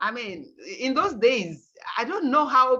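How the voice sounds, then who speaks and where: A woman speaks at a very slow pace with very wide pitch swings. Her tone is bright and sharp. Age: 60s. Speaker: organic farmer and workshop facilitator. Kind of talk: presentation to workshop participants. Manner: conversational, animated.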